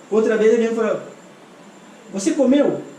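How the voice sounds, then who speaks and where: Lively intonation from a man at a moderate pace, with audible room echo and noticeable background noise. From Senegal. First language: not Portuguese; learned it as an adult in Brazil (speaking Portuguese). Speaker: translator and interpreter. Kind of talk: interview, personal life story. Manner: animated.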